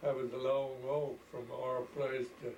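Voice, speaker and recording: A man talks at a very slow pace with monotone, flat intonation and a medium pitch. Audible room echo and noticeable background noise surround him. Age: 90s. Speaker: elderly farmer recalling the past. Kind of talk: oral history interview.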